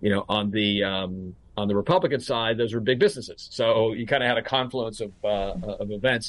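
A man with a fairly low pitch, a fairly quick pace and an unremarkable speaking voice. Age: 50s. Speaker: restructuring banker. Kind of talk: interview.

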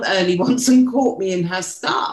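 A woman with a British accent speaks at a moderate pace with ordinary pitch variation. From UK. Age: 50s. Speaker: podcast co-host. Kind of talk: personal storytelling.

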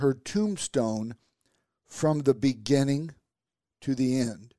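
A man with a Midwestern American accent talks very slowly at a fairly high pitch with ordinary pitch variation. The sound is dry and close with no echo. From US Midwest. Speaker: motivational podcast host. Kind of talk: motivational talk. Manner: animated.

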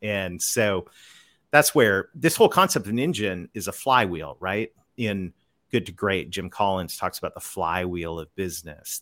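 In a very clean recording with a silent background, a man with a fairly low pitch speaks at a moderate pace, with ordinary pitch variation and big swings in loudness. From Canada. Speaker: business author and sales consultant. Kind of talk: podcast interview. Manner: animated.

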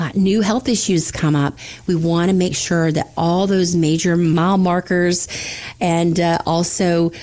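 At a moderate pace, a woman with an American accent and a fairly low pitch speaks in a plain, everyday voice. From Florida Panhandle. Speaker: financial advisor. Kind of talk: casual chat.

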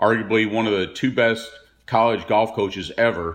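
Here is an unremarkable speaking voice from a man with an American accent at medium pitch. He keeps a moderate pace and fairly even intonation. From Texas (Dallas). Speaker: retired professional golfer. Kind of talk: interview recollection.

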